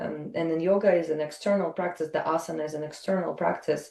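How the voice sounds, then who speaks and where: A woman with a Russian accent speaks with fairly even intonation. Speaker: yoga teacher. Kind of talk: interview conversation. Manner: halting, many fillers.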